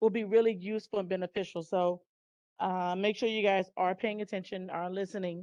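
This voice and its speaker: A woman speaks in a plain, everyday voice at medium pitch with fairly even intonation, the sound dry and close with no echo over a quiet background. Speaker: college instructor. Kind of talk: lecture.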